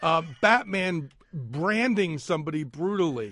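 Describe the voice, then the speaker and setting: Lively intonation from a man with a high pitch, at a fairly slow pace, against a quiet background. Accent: American. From Philadelphia area. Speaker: arts and entertainment editor at a newspaper. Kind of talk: casual chat. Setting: studio.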